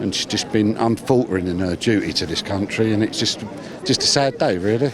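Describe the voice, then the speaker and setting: A man speaks at a fairly quick pace in a fairly low voice with ordinary pitch variation, over noticeable background noise. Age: 50s. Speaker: mourner interviewed on the street. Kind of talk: vox pop interview.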